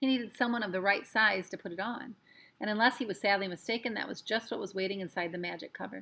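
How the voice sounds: This natural reading voice shows an ordinary amount of pitch movement.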